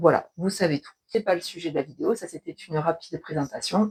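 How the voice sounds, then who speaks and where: A woman talks at a moderate pace with ordinary pitch variation. The sound is dry and close, with no echo. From southwestern France (between Toulouse and Castres). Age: 40s. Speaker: knitting and sewing youtuber. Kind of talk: casual video podcast monologue. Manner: hesitant, many filler sounds.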